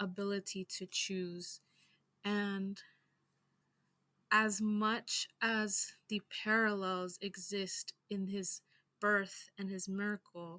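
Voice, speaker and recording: A woman speaks in a shaky voice with a bright, sharp tone. Her intonation is monotone and flat. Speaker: astrology and culture teacher. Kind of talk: lecture. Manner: shaky voice on powerful topics.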